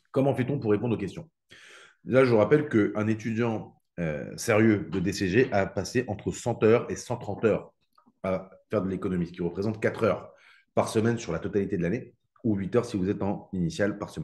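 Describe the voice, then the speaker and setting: A man speaks at a fairly quick pace in a fairly low pitch, with ordinary pitch variation. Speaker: economics teacher. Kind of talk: live online exam-prep class. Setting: live stream with chat. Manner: fast.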